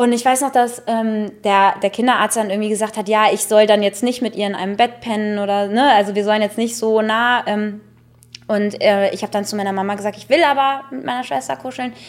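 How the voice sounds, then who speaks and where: An unremarkable speaking voice. A woman talks at a fairly quick pace and a fairly high pitch, with ordinary pitch variation. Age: 30s. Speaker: comedian and podcast co-host. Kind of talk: casual chat. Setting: podcast studio.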